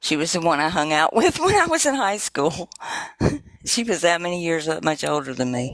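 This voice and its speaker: A woman with a normal speaking voice talks at a moderate pace, her pitch fairly low and her intonation lively. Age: 60s. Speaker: livestream participant. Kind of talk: casual chat. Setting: livestream video call.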